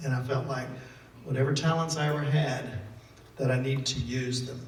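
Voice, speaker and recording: In a Southern US accent, a man speaks at a medium pitch with monotone, flat intonation. Audible room echo and noticeable background noise fill the recording. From Mississippi. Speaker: author and photojournalist. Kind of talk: talk to an audience.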